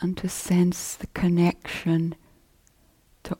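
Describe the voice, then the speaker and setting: Very slow and somewhat breathy, a woman speaks at a fairly low pitch in a gentle tone. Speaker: meditation teacher. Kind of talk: guided meditation. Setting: retreat hall. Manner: slow, soft-spoken, calm; gentle, with long pauses.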